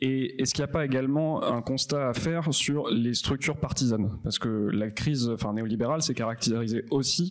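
Here a man talks at a fairly quick pace in a medium pitch with ordinary pitch variation and an unremarkable speaking voice. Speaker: event moderator. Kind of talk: moderating, introducing guests.

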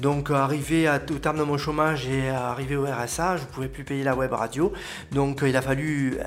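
A man talks at a moderate pace in a fairly high, a plain, everyday voice. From southern France, Aude. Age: 40s. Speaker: local web TV presenter and butcher. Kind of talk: interview.

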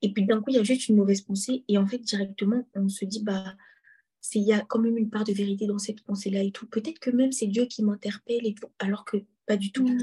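A woman with a fairly high pitch talks at a very fast pace in a monotone, flat way. Her voice is somewhat breathy with a dark, mellow tone. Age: 20s. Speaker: student sharing a faith testimony. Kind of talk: testimony.

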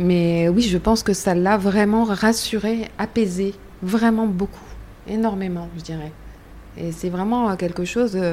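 A woman's medium-pitched voice moves at a very slow pace. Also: fairly even intonation. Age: 50s. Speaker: cancer patient, association member. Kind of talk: testimony.

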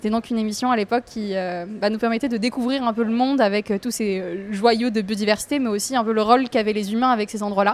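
A woman with a slight southern French accent speaks very fast with hardly any pauses. Her voice is fairly high, with fairly even intonation. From southern France, near an industrial lagoon. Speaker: environmental campaigner. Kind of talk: casual interview. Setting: café.

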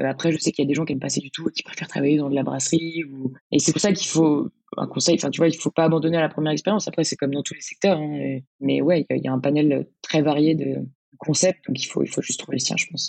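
With vocal fry and a very deep, low pitch, a woman talks very fast in a fairly even intonation. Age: 20s. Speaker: restaurant manager, former law student. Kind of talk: interview conversation. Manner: hesitant, many fillers.

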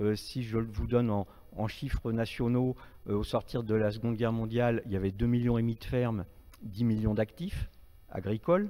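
This man talks at a moderate pace in a medium pitch, with fairly even intonation and a dark, mellow tone. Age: 60s. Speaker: journalist and writer. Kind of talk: panel debate.

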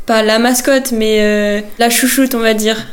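Against noticeable background noise and audible room echo, a woman speaks at a fairly slow pace in a monotone, flat intonation. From Brittany, France (Vannes area). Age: 20s. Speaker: footballer. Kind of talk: interview. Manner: hesitant with fillers.

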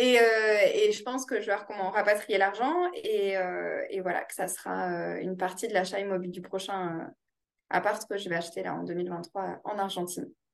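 This woman's medium-pitched voice holds a fairly even intonation as she talks at a moderate tempo. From France, Toulouse. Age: 30s. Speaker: real estate investor. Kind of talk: interview. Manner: hesitant, many fillers.

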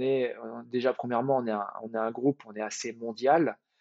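Fairly even in intonation, the speech proceeds at a moderate speed. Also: man. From Paris region (Val-de-Marne), France. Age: 30s. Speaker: baker. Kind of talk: interview. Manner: halting, many fillers and repetitions.

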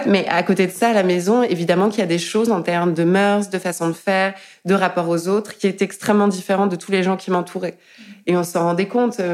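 A woman speaks at a fairly quick pace and medium pitch. Her intonation is monotone and flat, and her loudness very even. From France. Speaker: artist and tattooist. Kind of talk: interview conversation. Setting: living room. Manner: halting, many fillers.

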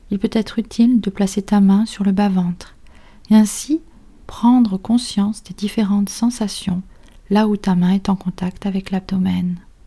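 Speaking at a fairly slow pace, a woman has a medium-pitched, somewhat breathy voice. Her tone is dark and mellow, calm and soothing. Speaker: psychologist and meditation teacher. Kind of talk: guided meditation. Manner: slow, soft, calm and soothing, with long pauses; gentle, instructive, addressing listener as tu.

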